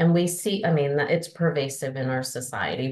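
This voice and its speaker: This woman speaks with a Northern US accent. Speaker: adult learning strategist and adjunct faculty. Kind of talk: podcast interview. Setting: podcast.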